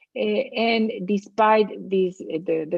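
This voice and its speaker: A woman with a Latin American accent speaks with ordinary pitch variation. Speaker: public health expert. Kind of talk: lecture. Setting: webinar. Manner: halting, many fillers.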